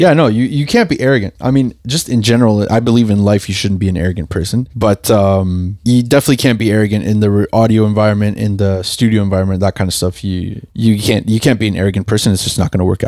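At a very fast pace with hardly any pauses, a man speaks in a dark, mellow tone with a fairly low pitch and ordinary pitch variation. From Uruguay. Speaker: audio engineer. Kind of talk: casual interview.

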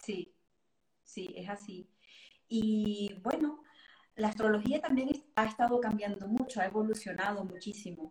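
Somewhat breathy and fairly high in pitch, a woman speaks at a fairly slow pace with ordinary pitch variation and long, frequent pauses. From Venezuela. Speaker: astrologer and tarot reader. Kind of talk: casual interview.

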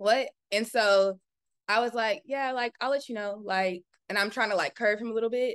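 Here is a woman with an American accent and an ordinary speaking voice, pitched fairly high. Her intonation is fairly even at a moderate pace, and the sound is dry and close with no echo. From Southern California, Orange County. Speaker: content creator and entrepreneur. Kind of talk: casual interview chat.

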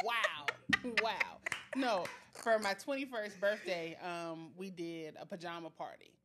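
Over music in the background, a woman at a medium pitch speaks at a fairly slow pace with lively intonation and big swings in loudness. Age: 30s. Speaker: podcast co-host. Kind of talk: casual chat.

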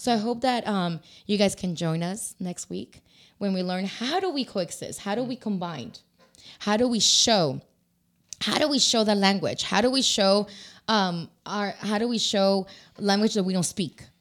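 An animated woman with a Spanish accent talks at a medium pitch with ordinary variation. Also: moderate pace. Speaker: talk show host. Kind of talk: casual bilingual panel chat. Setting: live video stream. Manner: animated, code-switching between English and Spanish.

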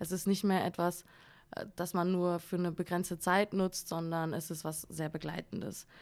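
At a moderate pace, a woman talks at a medium pitch in a normal speaking voice. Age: 20s. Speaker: creative copywriter and former journalist. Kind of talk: casual chat. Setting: studio.

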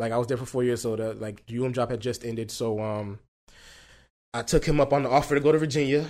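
This man talks very fast at a medium pitch with fairly even intonation. The recording is very clean, with a silent background. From Haitian family. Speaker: chef and food entrepreneur. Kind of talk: casual interview chat. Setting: in person sit-down.

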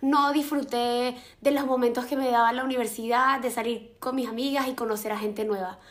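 A woman's high-pitched voice at a fairly quick pace, with fairly even intonation and audible room echo. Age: 20s. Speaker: university student sharing dating experiences. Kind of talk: casual interview chat.

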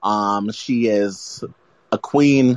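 Talking in an American accent, a man keeps his voice at a fairly low pitch. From US South, New Orleans. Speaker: music draft participant. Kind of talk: casual chat.

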